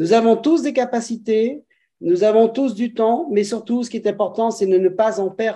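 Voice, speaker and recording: Against a quiet background, a man with a high pitch and a dark, mellow tone speaks at a fairly slow pace with ordinary pitch variation. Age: 60s. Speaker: business opportunity presenter. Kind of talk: sales pitch. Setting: video call. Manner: halting.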